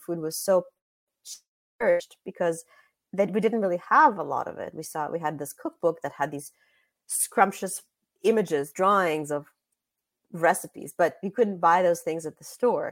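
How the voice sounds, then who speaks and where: A woman with a Russian accent, fairly low in pitch, at a moderate pace with ordinary pitch variation, long, frequent pauses and big swings in loudness. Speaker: author and journalist. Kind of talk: interview. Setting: video call.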